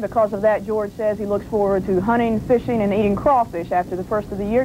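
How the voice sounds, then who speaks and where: A woman at medium pitch, very fast pace, fairly even intonation, and noticeable background noise. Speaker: health reporter. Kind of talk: TV news report.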